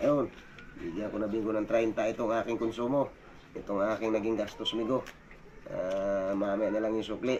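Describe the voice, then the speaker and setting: A man's monotone, flat voice at medium pitch and moderate pace, with noticeable background noise. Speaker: fisherman and vlogger. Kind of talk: casual vlog narration. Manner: halting, many fillers.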